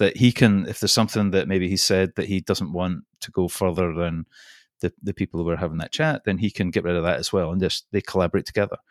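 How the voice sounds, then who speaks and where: A man with a Scottish accent at a very fast pace and fairly low pitch, in a very clean recording with a silent background and a dry, close sound with no echo. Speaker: podcaster. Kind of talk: casual interview chat.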